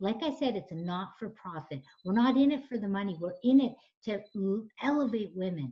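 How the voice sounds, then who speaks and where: Somewhat breathy, a woman speaks at medium pitch and a moderate pace, her pitch swinging very widely. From Canada. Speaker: nonprofit founder and coach. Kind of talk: radio interview. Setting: radio show. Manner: animated.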